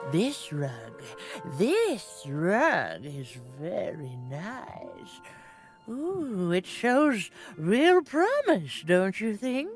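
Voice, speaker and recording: Over clear background music, a woman talks very slowly in a put-on character voice at a medium pitch for a woman. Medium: video game. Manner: cryptic, knowing, gentle.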